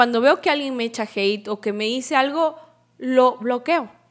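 A woman's high voice at a moderate pace. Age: 30s. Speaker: podcast host and entrepreneur. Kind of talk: motivational monologue.

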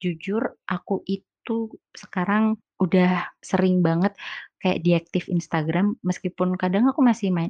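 In a normal speaking voice, a woman talks at a fairly slow pace with medium pitch and ordinary pitch variation, the sound dry and close with no echo over a quiet background. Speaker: podcaster. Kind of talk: casual solo podcast monologue. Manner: chatty, laughs often.

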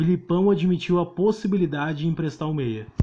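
At a fairly quick pace, a man speaks with fairly even intonation. His voice is somewhat breathy. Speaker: football podcast host. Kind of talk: casual chat.

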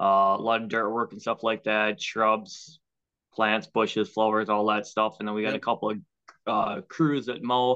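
A man's fairly low voice with an Upper Midwest accent, fairly even intonation and a moderate pace. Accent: Upper Midwest (Minnesota). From Minnesota (Waconia). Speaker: stock car racer and landscaper. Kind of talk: casual interview. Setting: video call.

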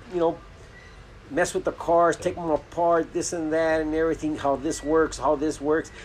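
A man with an American accent uses a monotone, flat intonation at a fairly high pitch. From Los Angeles, Boyle Heights. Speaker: lowrider car builder. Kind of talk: casual interview. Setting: car workshop.

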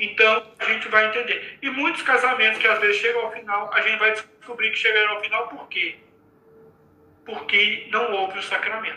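Noticeable background noise sits behind this voice. A man speaks at a moderate pace with high pitch and fairly even intonation. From Minas Gerais, Brazil. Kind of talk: religious talk in live stream. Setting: video live stream from home.

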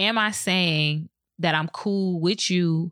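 A woman with a normal speaking voice, fairly low pitch and ordinary pitch variation is heard on a very clean recording with a silent background. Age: 20s. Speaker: podcast host. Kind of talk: personal monologue. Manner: casual, conversational.

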